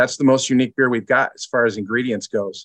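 Talking very fast in an Upper Midwest accent, a man has a medium pitch, fairly even intonation, and a bright, sharp tone, with a dry, close sound and no echo. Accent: Upper Midwest American. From Michigan, Lansing. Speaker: brewery sales director. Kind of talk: casual interview chat.

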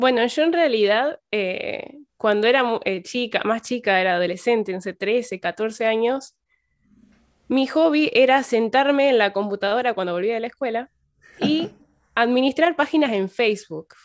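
On a very clean recording with a silent background, a woman speaks fairly slowly at a fairly high pitch with lively intonation. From Argentina, Santa Fe province. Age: young. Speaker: religion teacher and community manager. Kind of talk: podcast interview. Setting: at home.

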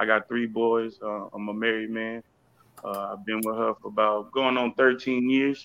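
This man's medium-pitched voice moves at a moderate pace in a flat monotone. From Houston, Texas. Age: 30s. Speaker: rapper. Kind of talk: casual interview chat.

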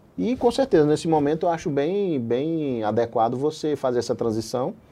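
A man's plain, everyday voice, fairly high in pitch, with lively intonation. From Brazil, Paraíba. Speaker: anesthesiologist and online medical educator. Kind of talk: interview.

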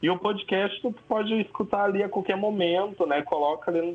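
Music plays in the background as a man with a southern Brazilian accent speaks at a moderate pace. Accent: gaúcho Brazilian Portuguese. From southern Brazil, São Leopoldo (Rio Grande do Sul). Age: 20s. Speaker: actor and photographer. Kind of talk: casual interview chat.

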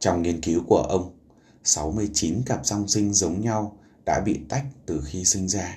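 Very slow and somewhat breathy, a man speaks with a very deep, low pitch and a dark, mellow tone, showing ordinary pitch variation. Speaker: podcast host. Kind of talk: book summary narration.

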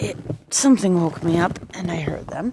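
A soft-spoken woman talks at a fairly slow pace with a fairly low pitch. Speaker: podcaster and writer. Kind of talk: casual monologue. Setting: at home.

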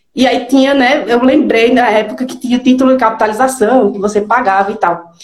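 Speaking at a moderate pace, a woman with a high pitch shows ordinary pitch variation. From Pernambuco, northeastern Brazil (Garanhuns). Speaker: digital strategist. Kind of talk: live interview.

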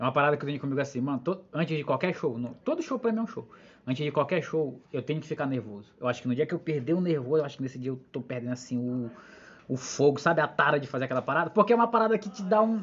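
A man talks at a very fast pace and a fairly high pitch, somewhat breathy, with lively intonation. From interior of Maranhão, Brazil. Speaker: podcast host and stand-up comedian. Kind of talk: casual chat.

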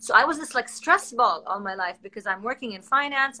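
Speaking at a fairly quick pace, a woman has a high pitch and lively intonation. She talks with an Arabic accent. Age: 30s. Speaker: social media host. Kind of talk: casual interview on a livestream.

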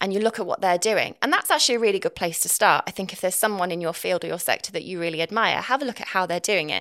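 A woman speaks at a very fast pace with hardly any pauses and ordinary pitch variation. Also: medium pitch for a woman. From England, Nottinghamshire (East Midlands). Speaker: copywriter and marketer, former journalist. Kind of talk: interview conversation. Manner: fast talker.

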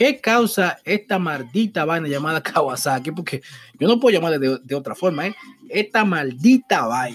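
A man speaks at a moderate pace with a fairly high pitch and very wide pitch swings. His tone is animated, with music playing in the background. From Dominican Republic. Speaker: podcast host. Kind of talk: casual commentary. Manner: halting.

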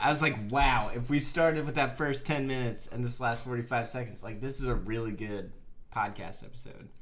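Here is a man with a plain, everyday voice and an American accent. His medium pitch shows ordinary variation, and his pace is moderate. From Bethlehem, Pennsylvania. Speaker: podcast co-host. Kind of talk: casual chat.

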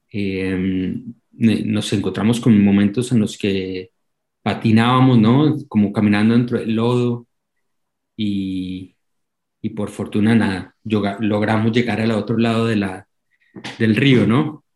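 In a Colombian accent, the speaker moves at a very slow pace with long, frequent pauses and fairly even intonation. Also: man, fairly low pitch for a man. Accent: Colombian, unchanged. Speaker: documentary filmmaker. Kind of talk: interview. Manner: halting, many repeated words.

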